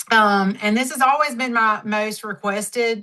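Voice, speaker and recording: A Southern accent with a bright, sharp tone, ordinary pitch variation and a fairly slow pace. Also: woman. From Mississippi, US South. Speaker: network marketing leader, former dermatology nurse. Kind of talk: training talk on a team call.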